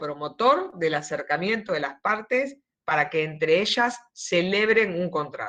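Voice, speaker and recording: The intonation is lively throughout. She, a woman, keeps to a fairly slow pace. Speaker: law lecturer. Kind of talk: lecture. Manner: deliberately slow here.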